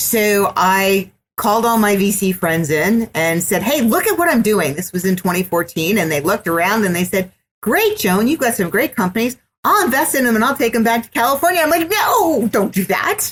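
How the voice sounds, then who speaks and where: A woman talks at a moderate pace in a fairly high pitch. Her voice is somewhat breathy, with very wide pitch swings. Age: 60s. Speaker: business executive and entrepreneur. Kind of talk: podcast interview.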